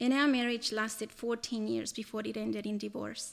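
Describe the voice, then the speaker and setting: A woman's voice, fairly high in pitch, moves along at a moderate pace. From El Salvador. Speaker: church member. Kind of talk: testimony. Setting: church service. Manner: reading from notes.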